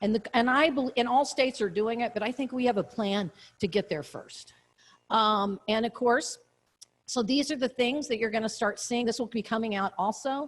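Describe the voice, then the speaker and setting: Over a quiet background, a normal speaking voice moves at a moderate pace with ordinary pitch variation. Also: woman, fairly high pitch for a woman. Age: 60s. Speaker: state economic development official. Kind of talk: conference presentation with Q&A. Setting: conference luncheon, partly streamed online.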